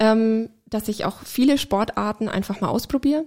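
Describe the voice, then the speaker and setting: A woman with an unremarkable speaking voice talks at a moderate pace and fairly high pitch with ordinary pitch variation. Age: 30s. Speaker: hearing aid acoustician. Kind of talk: casual chat.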